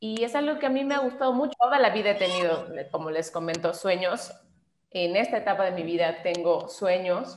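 Intonation is lively, and the pace runs fairly quick. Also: woman, medium pitch for a woman. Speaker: voice actress. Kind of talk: interview.

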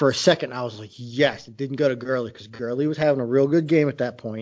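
Here a man uses an unremarkable speaking voice at medium pitch. His intonation is fairly even and his pace fairly quick. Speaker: podcast co-host. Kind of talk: casual banter over beers, fantasy football talk.

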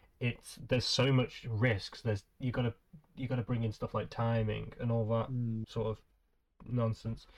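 A man with a British accent speaks at a moderate pace in a medium pitch. His delivery is monotone and flat, and somewhat breathy. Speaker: podcast host. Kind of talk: casual chat. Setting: video call. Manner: casual, swears often.

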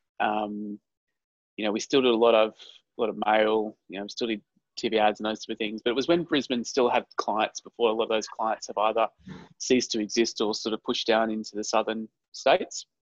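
A man with an Australian accent speaks at a fairly quick pace and medium pitch, his intonation fairly even and the sound dry and close with no echo. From Queensland, Australia. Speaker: advertising agency CEO. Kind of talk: interview.

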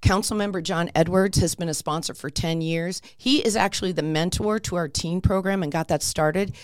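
With an American accent and a fairly low pitch, a woman talks at a fairly quick pace with hardly any pauses, in a very clean recording with a silent background. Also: ordinary pitch variation. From Pennsylvania. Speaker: library volunteer officer. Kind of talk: casual interview. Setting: studio. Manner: animated.

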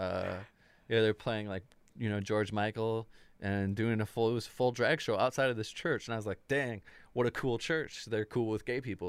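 The recording is very clean, with a silent background. A man with an American accent speaks in a normal speaking voice at medium pitch, with ordinary pitch variation and a moderate pace. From US Midwest, Chicago area. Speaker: musician. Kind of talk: casual chat.

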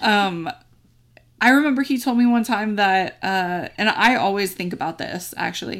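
Speaking at a fairly slow pace with long, frequent pauses, a woman uses a medium pitch and ordinary pitch variation in a very clean recording with a silent background. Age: 20s. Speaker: hairstylist and podcast host. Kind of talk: casual chat. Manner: halting.

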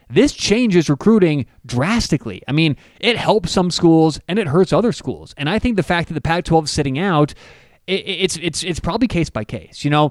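A high-pitched man's voice at a moderate pace, lively in intonation, dry and close with no echo. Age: 30s. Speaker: sports podcast host. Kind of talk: casual sports chat.

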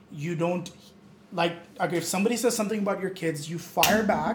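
There is noticeable background noise and audible room echo as a man speaks at a fairly quick pace. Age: 20s. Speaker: podcast guest. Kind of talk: casual chat.

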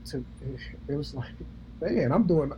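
Noticeable background noise runs throughout. A man speaks over it. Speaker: male nurse, co-host. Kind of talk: casual conversation.

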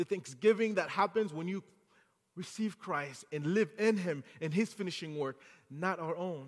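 Speaking with a French accent, a man uses a high pitch, ordinary pitch variation and a moderate pace. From Haiti. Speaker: guest preacher. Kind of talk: sermon. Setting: church.

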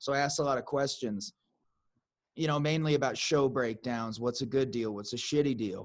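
A man with an American accent has an ordinary speaking voice at medium pitch with ordinary pitch variation, recorded very cleanly with a silent background. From US Midwest. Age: 30s. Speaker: podcast host and musician. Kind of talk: casual chat.

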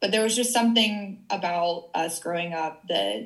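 A woman with an American accent talks at a fairly slow pace in an ordinary speaking voice. Her pitch is medium, with ordinary pitch variation. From US South, rural Tennessee. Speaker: business coach. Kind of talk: casual interview.

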